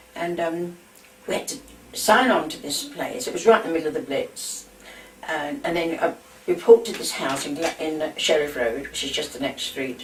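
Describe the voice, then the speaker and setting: A woman with a London accent, fairly low in pitch, at a moderate pace, with very wide pitch swings, big swings in loudness and noticeable background noise. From London, England. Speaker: war eyewitness. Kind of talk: oral history reminiscence.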